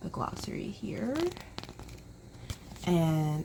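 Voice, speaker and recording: A woman talks over noticeable background noise. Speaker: book vlogger. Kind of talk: casual vlog chat. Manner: quiet, talking low.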